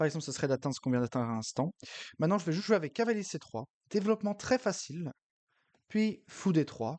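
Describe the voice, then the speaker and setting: Against a quiet background, a man speaks very fast with very wide pitch swings and long, frequent pauses, the sound dry and close with no echo. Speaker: chess streamer. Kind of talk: live game commentary. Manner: hesitant, many filler sounds.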